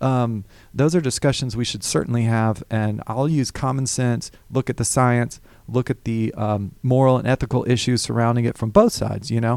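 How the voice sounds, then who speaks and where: Here a man talks with a Southern US accent. He keeps a moderate pace. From Alabama (Hoover, near Birmingham). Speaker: political candidate. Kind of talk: radio interview. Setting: studio.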